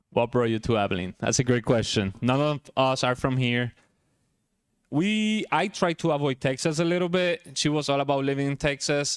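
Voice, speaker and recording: With a strong Puerto Rican accent, a man speaks with lively intonation and very even loudness on a very clean recording with a silent background. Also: fairly high pitch for a man, moderate pace, dry, close sound with no echo. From Puerto Rico (San Juan). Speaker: chiropractor. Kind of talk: talk at a luncheon.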